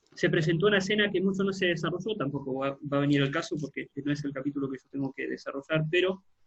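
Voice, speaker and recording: At a fairly quick pace, a man with a fairly high pitch speaks in an ordinary speaking voice with ordinary pitch variation. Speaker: pastor. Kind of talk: online Bible class.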